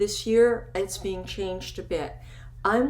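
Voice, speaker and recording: Audible room echo carries a woman speaking at a fairly slow pace. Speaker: photography educator. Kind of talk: recorded webinar lecture.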